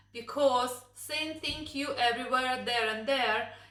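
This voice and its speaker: Amid noticeable background noise and audible room echo, a woman with a Russian accent speaks at a high pitch and moderate pace with fairly even intonation. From Russia, Moscow. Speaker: vlogger. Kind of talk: casual chat.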